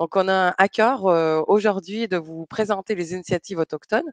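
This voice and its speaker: Recorded with a dry, close sound and no echo, a woman speaks at a moderate pace and medium pitch with ordinary pitch variation. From Quebec, Montreal. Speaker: travel destination presenter. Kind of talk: online presentation. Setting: online webinar. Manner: hesitant, many fillers.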